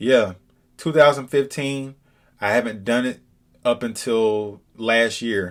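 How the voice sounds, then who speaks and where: The voice has an American accent and ordinary pitch variation. It moves at a fairly slow pace. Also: man. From Georgia, Atlanta area. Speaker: landscaper and video creator. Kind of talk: vlog monologue. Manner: animated.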